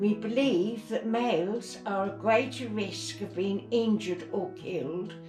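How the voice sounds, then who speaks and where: A woman's very slow speech over music in the background. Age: 80s+. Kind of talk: book reading.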